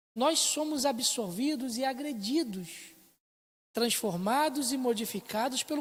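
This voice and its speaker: A woman's high voice with lively intonation at a fairly slow pace, on a very clean recording with a silent background. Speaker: Sunday school teacher. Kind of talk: Bible class lecture. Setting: church, filmed for internet stream.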